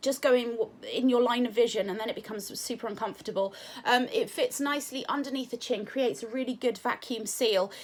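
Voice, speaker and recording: In a British accent, a woman speaks at a high pitch with ordinary pitch variation. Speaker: product reviewer. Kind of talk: product review. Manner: casual with many fillers.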